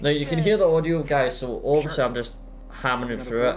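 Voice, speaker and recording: A man with a fairly high pitch talks, and the recording carries noticeable background noise and audible room echo. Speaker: gaming live streamer. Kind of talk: live gameplay commentary. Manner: fast; rambling, casual.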